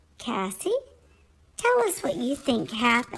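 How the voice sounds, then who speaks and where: Using a put-on character voice, a woman speaks in a high pitch. Her pace is moderate. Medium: read story. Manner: mock-formal.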